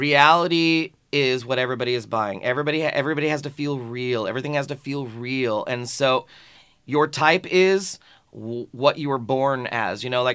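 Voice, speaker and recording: A man speaks at a moderate pace and medium pitch with ordinary pitch variation. His tone is bright and sharp, on a very clean recording with a silent background. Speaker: film industry professional discussing casting. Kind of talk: casual discussion. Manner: stuttering, halting.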